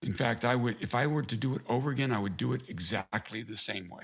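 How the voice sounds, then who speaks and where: Moderately paced, a man's talk shows an ordinary speaking voice and ordinary pitch variation. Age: 60s. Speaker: navy veteran, author. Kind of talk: interview.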